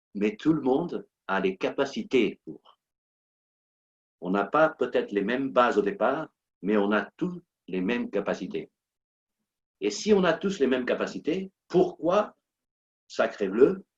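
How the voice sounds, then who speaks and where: A man with a non-native accent, medium pitch and very wide pitch swings, at a very slow pace with long, frequent pauses, in a dry, close sound with no echo. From Portuguese-speaking country. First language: Portuguese (speaking French). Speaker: motivational coach and speaker. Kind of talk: motivational talk. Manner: animated, repetitive emphasis.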